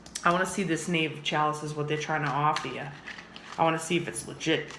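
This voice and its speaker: The tone is animated and the pace very fast. Background noise is noticeable. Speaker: tarot reader. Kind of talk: tarot reading monologue. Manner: casual, animated.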